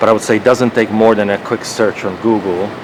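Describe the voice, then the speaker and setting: Through noticeable background noise, the speaker's intonation stays monotone and flat. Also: man. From Croatia. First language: Croatian. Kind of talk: casual debate.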